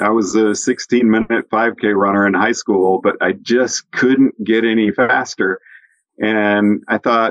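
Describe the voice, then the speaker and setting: Using a normal speaking voice, a man talks at a fairly slow pace and medium pitch with fairly even intonation. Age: 60s. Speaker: ski instructor and podcast host. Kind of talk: casual chat.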